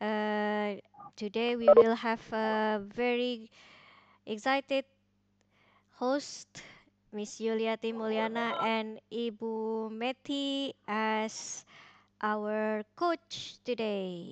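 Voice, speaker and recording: A woman with an Indonesian accent and fairly high pitch talks at a very slow pace with fairly even intonation and long, frequent pauses, the sound dry and close with no echo. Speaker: teacher, session moderator. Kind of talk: online teacher discussion. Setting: video call.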